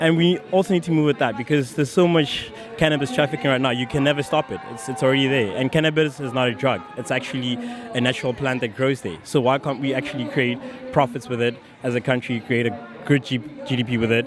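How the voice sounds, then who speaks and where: With music playing behind him, a man talks at a very fast pace in a medium pitch and ordinary pitch variation. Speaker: student. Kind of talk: street interview.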